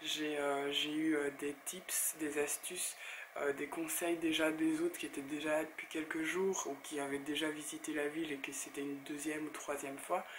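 Over noticeable background noise, a woman with a very deep, low pitch talks at a moderate pace in a monotone, flat intonation. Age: 30s. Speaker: blogger and YouTuber. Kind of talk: casual talk to camera.

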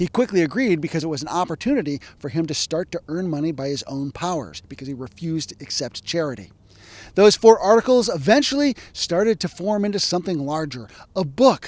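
A high-pitched man talks at a fairly quick pace with very wide pitch swings and big swings in loudness, in a dry sound with no echo. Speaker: historian. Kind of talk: educational narration. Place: open country. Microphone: handheld.

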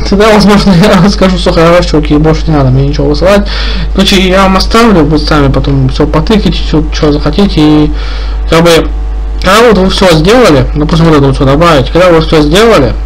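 A man talks at a very fast pace with very even loudness. There is light background noise. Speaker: streamer. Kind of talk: casual stream commentary. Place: home room.

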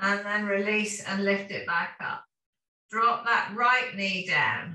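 With a British accent, a woman speaks at a very slow pace in a fairly high voice. Her intonation is fairly even, and there is audible room echo. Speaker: fitness instructor. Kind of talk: guided exercise class. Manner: calm, rhythmic, steady cueing; instructional, repetitive commands. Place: home room. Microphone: camera far.

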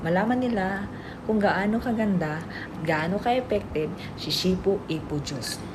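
Spoken at a moderate pace with a Bisaya accent and ordinary pitch variation, the voice carries audible room echo over noticeable background noise. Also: woman. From Philippines, Visayas. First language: Bisaya (speaking Tagalog). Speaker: vlogger and product seller. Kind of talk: product demo and sales pitch. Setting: at employer's home, boss present. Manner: animated, laughing often.

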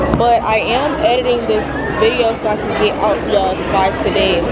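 Against crowd noise in the background, a woman's voice comes through dry, with no echo. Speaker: high school vlogger. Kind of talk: casual vlog chat. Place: cafe. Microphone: phone near.

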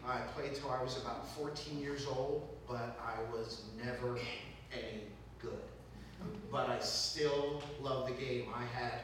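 Monotone, flat intonation under strong room echo and light background noise. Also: man. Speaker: guest lecturer. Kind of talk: lecture.

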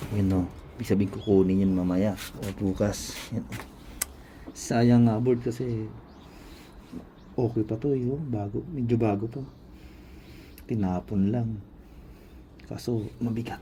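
A man speaks at a fairly slow pace with a fairly low pitch. He leaves long, frequent pauses, and his pitch varies in an ordinary way. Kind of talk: casual vlog talk to camera.

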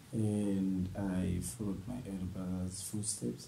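Amid audible room echo and light background noise, a man speaks at a fairly low pitch with ordinary pitch variation. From Zambia. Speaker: professional footballer; interviewee. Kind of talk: interview. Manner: halting. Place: home room.

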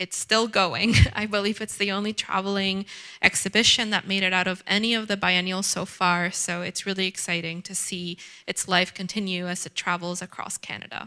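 Her tone bright and sharp, a woman speaks at a moderate pace with fairly even intonation. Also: quiet background. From Ecuador. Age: young. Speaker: curator and writer; exhibition guide or curator. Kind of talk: guided gallery tour. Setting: gallery with audience. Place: hall. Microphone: handheld.

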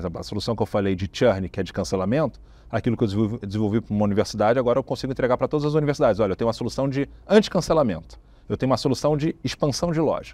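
At a very fast pace, a man talks with lively intonation, a medium pitch and a dark, mellow tone, the sound dry with no echo. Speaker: tech company founder and CEO; interviewee. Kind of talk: business interview. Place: studio. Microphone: lapel.

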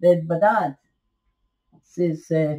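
Against a quiet background, a woman speaks in a dark, mellow tone. Her voice is somewhat breathy. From Scotland. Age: 80s+. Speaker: interviewee. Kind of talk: storytelling interview. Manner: halting. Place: home room. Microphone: webcam.

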